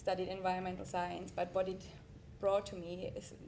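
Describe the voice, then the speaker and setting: A woman with a non-native accent speaks at a medium pitch. Audible room echo and noticeable background noise come through. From Europe. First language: not English. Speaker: artist and environmental scientist. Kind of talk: panel discussion.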